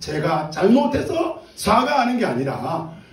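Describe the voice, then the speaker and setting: A man with a high pitch and very wide pitch swings speaks at a very slow pace, with noticeable background noise and audible room echo around him. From Gyeongsang province, South Korea. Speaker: pastor. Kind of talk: sermon.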